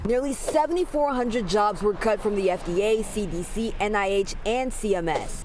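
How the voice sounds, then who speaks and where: Over noticeable background noise, a woman with an American accent talks at a fairly quick pace with hardly any pauses. Her fairly high voice carries an energetic tone and lively intonation. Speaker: television news reporter. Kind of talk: live TV news report. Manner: clear, energetic news delivery.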